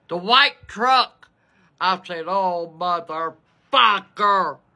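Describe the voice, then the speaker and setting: A bright, sharp tone stands out over a quiet background. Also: woman. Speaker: storyteller. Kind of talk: casual vlog chat, storytelling. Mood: exasperated, humorous. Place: home room. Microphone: phone near.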